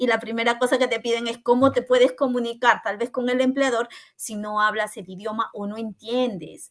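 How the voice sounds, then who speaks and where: With an ordinary speaking voice, a woman talks at a moderate pace in a fairly high pitch with fairly even intonation against a quiet background. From Peru, Callao (Lima). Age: 30s. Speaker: podcast co-founder and content creator. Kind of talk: casual interview.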